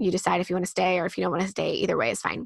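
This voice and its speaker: A woman's medium-pitched voice with vocal fry and a bright, sharp tone, dry and close with no echo against a quiet background. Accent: American. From US Midwest. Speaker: author and homeschool curriculum creator. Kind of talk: interview.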